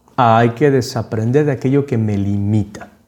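A man's medium-pitched voice with a dark, mellow tone, fairly even intonation and a fairly slow pace. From Panama. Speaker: podcast host. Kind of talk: reflective monologue.

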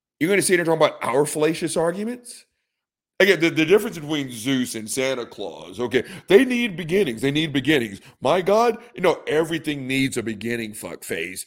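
The voice has vocal fry and very wide pitch swings at a fairly quick pace. The recording is very clean, with a silent background. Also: man. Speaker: podcast host. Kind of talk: casual profane comedic ranting. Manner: sarcastic, mocking.

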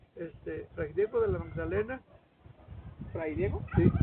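A man's voice over noticeable background noise. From Mexico, Mexquitic, San Luis Potosí. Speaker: retired social studies teacher. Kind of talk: interview, storytelling. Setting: at his home. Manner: halting, many repetitions.

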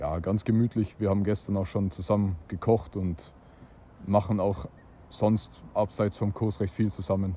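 A man speaks at a fairly slow pace with a somewhat breathy, dark, mellow tone. His pitch sits fairly low, and his intonation stays fairly even. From Austria. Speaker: disc golf player. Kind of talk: casual interview.

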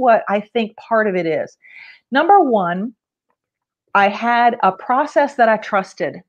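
A woman's high voice with very wide pitch swings over a quiet background. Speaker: entrepreneur and fitness enthusiast. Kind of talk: casual interview chat.

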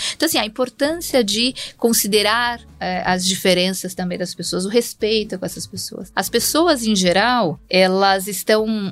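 A woman's medium-pitched voice with lively intonation at a fairly slow pace, with music in the background. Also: hardly any pauses. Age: 50s. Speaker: HR executive. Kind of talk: casual chat.

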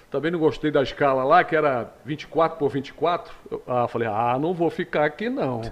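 A man with a plain, everyday voice speaks at a fairly high pitch with ordinary pitch variation. His pace is fairly slow, with hardly any pauses. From Rio de Janeiro state, Teresópolis. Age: 60s. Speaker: radio host. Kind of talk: interview.

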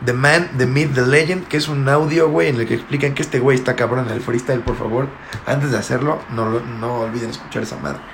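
Speaking with a Mexican accent, a man talks fairly quickly at a medium pitch with ordinary pitch variation. Noticeable background noise and audible room echo surround him. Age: 20s. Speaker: podcast host. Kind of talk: casual chat.

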